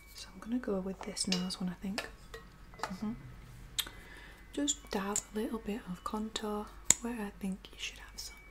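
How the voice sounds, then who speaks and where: Whispering and soft-spoken, a woman talks at a moderate pace with long, frequent pauses over noticeable background noise. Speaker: makeup roleplay host. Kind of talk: soft-spoken makeup roleplay talk to the viewer. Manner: soft, close ASMR whisper. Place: home room. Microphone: phone near.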